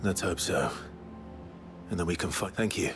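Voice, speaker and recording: Clear music plays in the background. A man uses a raspy, put-on character voice at a moderate pace. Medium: video game. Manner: earnest, polite.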